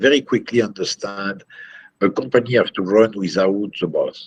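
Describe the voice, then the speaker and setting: A man speaks in a French accent at a fairly low pitch. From France. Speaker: company CEO. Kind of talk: interview. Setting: video call. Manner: halting.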